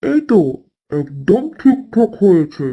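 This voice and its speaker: A man puts on a cartoonish character voice, high in pitch. His pitch swings very widely. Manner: formal, authoritative.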